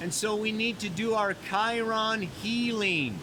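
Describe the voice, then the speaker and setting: Shouting in a raised, projected voice at a very slow pace, the speaker keeps a fairly even intonation amid audible room echo. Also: man. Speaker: astrologer. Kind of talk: weekly astrology forecast. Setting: outdoors by a mountain waterfall. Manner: casual, laid-back; loud, yelling over water.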